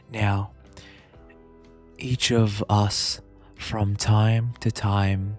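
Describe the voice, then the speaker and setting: Music plays in the background while the speaker talks with fairly even intonation. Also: man. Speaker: ASMR streamer, VTuber. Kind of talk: poetry reading. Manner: slow, soft-spoken.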